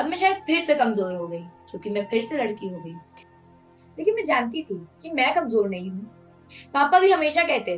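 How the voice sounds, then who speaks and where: A high-pitched woman's voice with very wide pitch swings and big swings in loudness, music in the background. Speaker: spoken word poet. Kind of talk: spoken word monologue. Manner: emotional.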